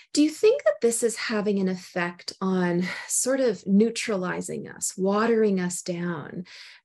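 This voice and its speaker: Hardly pausing, a woman with a Canadian accent speaks at a fairly slow pace. She has an ordinary speaking voice at a medium pitch. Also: ordinary pitch variation. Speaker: podcast host. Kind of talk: interview.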